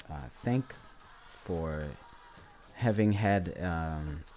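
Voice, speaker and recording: Amid noticeable background noise, a man with a Botswana accent talks at a very slow pace in a very deep, low voice with ordinary pitch variation. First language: Setswana. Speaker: independent history presenter. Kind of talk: lecture presentation. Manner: halting, many fillers.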